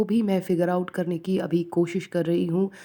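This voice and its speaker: On a very clean recording with a silent background, a woman with a non-native accent talks in a fairly low pitch with a dark, mellow tone and a monotone, flat intonation. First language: not Hindi (speaking Hindi). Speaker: student vlogger. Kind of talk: study vlog narration. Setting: at home. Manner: hesitant, with fillers.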